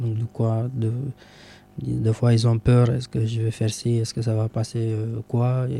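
A man speaks at a medium pitch and a fairly slow pace in a dark, mellow tone. His voice is somewhat breathy and his intonation monotone and flat. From Romania. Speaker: association president. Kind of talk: radio interview. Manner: halting.

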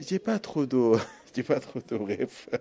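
A man speaks with an Arabic accent. His pace is very slow. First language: Arabic (speaking French). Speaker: potter. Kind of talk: interview. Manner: halting.

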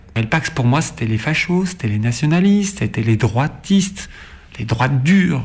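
Speaking at a moderate pace, a man uses very wide pitch swings. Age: 40s. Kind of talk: interview.

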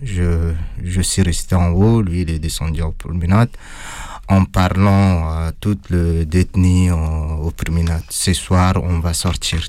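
Very slow and very deep, a man speaks with a non-native accent and a dark, mellow tone. His intonation stays fairly even. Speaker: former prisoner. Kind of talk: testimony. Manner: halting.

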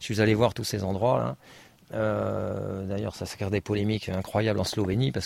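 A man talks at a fairly quick pace. His fairly low voice carries vocal fry. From Paris region, France. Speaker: naturalist. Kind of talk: talk to an audience. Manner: halting.

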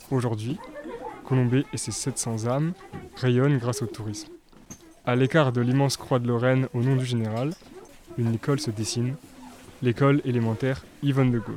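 Over noticeable background noise, a man with a medium pitch talks at a moderate pace with fairly even intonation and long, frequent pauses. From France, Haute-Marne. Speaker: student documentary maker. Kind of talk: scripted narration.

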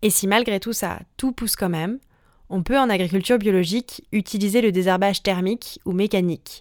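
A woman with an ordinary speaking voice, medium in pitch with ordinary pitch variation, at a fairly quick pace, dry and close with no echo on a very clean recording with a silent background. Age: 20s. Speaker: podcast host. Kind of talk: scripted narration.

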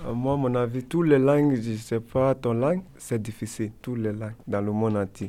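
A man's medium-pitched voice with a dark, mellow tone, fairly even intonation and a moderate pace. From Ivory Coast. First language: Koyaka (speaking French). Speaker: language learner. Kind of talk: casual group discussion.

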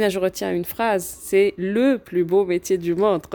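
At a fairly slow pace, a woman with a medium-pitched, dark and mellow tone speaks with fairly even intonation. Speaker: radio host and podcast producer. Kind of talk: interview.

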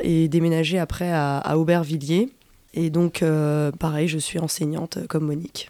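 A woman's dark, mellow, fairly low-pitched voice at a fairly slow pace. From Nantes area, France. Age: young. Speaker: teacher, activist. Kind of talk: radio interview. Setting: on location outside the studio.

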